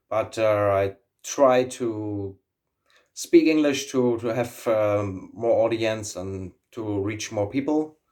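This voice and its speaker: Very slowly, a man with a German accent speaks at a medium pitch with ordinary pitch variation. The recording is very clean, with a silent background. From Germany. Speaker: YouTuber, aviator. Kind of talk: casual vlog monologue. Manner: halting, many fillers and repetitions.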